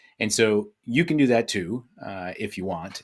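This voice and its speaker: Here a man talks with an unremarkable speaking voice. His pitch is fairly low, with ordinary pitch variation. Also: very clean recording, silent background. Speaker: business coach. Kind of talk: presentation. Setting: virtual summit live stream.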